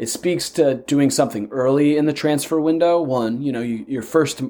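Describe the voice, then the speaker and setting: This man has an unremarkable speaking voice, fairly high in pitch with ordinary pitch variation, talking at a moderate pace with an American accent. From United States. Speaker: podcast co-host. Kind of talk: casual chat.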